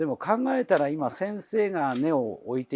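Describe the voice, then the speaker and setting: In a quiet background with a dry, close sound and no echo, a man speaks at a moderate pace with very wide pitch swings. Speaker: channel navigator, bonsai presenter. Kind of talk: interviewer questions.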